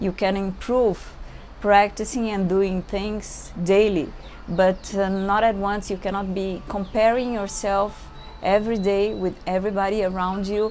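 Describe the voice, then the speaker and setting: A woman with a Brazilian accent speaks at a fairly slow pace in a medium pitch, her intonation monotone and flat. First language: Portuguese. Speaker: yoga teacher. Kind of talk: yoga class instruction. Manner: halting.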